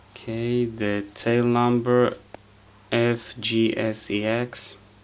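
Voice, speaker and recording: Speech comes at a very slow pace. The speaker has a non-native accent. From Israel. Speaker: scale model collector. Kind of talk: casual unboxing review to camera.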